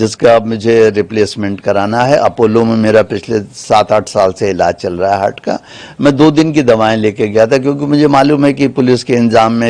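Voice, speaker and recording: A man's intonation is lively as he speaks at a moderate pace, with noticeable background noise behind him. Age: 70s. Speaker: lawyer. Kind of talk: media interview.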